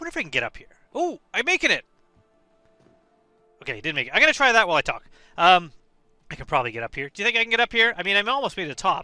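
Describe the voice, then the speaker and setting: Over background music, a man with a high voice talks very fast in a raised, projected voice, his pitch swinging very widely and his loudness shifting a lot, broken by long, frequent pauses. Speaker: gaming video creator. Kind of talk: casual gameplay commentary. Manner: hesitant, with fillers.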